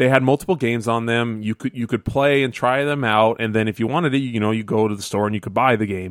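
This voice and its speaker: A man speaks in a normal speaking voice at medium pitch, with ordinary pitch variation. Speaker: guest co-host of gaming podcast. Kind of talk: casual chat. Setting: remote call from vacation.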